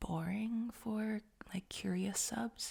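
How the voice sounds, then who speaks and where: A quiet, somewhat breathy woman's voice with ordinary pitch variation. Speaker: ASMR creator. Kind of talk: casual Q&A rambling. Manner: quiet, sleep-aid volume.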